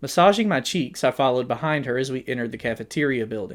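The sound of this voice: The reading voice is unforced. Nothing in it sounds pushed.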